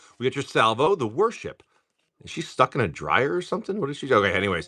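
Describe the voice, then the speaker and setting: A man talks in an animated, bright, sharp tone with vocal fry. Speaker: live card-opening streamer. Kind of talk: live stream card pack opening. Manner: casual, animated.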